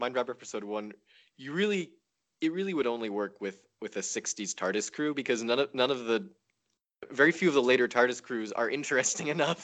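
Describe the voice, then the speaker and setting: A man with a plain, everyday voice speaks at a fairly quick pace with lively intonation and medium pitch against a quiet background. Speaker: podcast guest. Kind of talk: casual chat.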